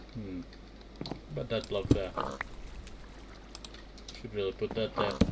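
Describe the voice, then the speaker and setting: A man with a very deep, low pitch and lively intonation at a fairly slow pace, with long, frequent pauses over noticeable background noise. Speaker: Minecraft let's play streamer. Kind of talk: casual gameplay commentary. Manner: soft-spoken.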